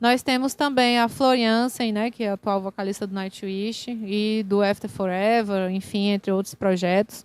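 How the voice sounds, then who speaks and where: This woman has a normal speaking voice, medium in pitch, with fairly even intonation. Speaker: singer-songwriter and vocal workshop teacher. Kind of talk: online workshop lecture. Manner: casual, conversational with fillers.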